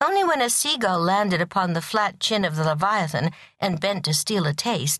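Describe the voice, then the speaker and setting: Over a quiet background, a woman speaks at a moderate pace in a fairly low, somewhat breathy voice. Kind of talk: audiobook narration reading a novel aloud.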